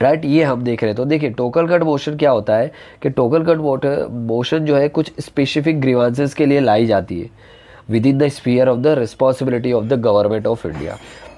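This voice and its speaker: A man talks at a moderate pace and a medium pitch. His tone is dark and mellow. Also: ordinary pitch variation. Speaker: online polity teacher. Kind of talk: lecture.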